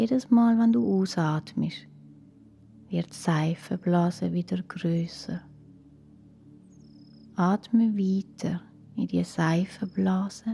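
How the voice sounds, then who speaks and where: Speech comes very slowly with long, frequent pauses while music plays in the background. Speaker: meditation guide. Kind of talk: guided relaxation for children. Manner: calm, slow, soft-spoken.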